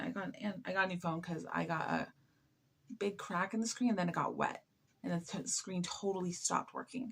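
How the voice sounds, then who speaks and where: A woman with an American accent speaks at a medium pitch in a somewhat breathy voice. She talks fairly quickly with lively intonation. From US. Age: 20s. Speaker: live streamer. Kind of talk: casual chat. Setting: late night live stream. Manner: halting.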